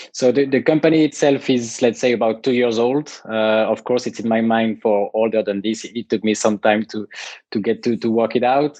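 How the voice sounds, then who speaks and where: Fairly even in intonation, a man's dark, mellow tone comes through with a dry, close sound and no echo. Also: medium pitch for a man, moderate pace. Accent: French. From France. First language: French. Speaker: tiny house company founder. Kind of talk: podcast interview. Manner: hesitant, many fillers and repetitions.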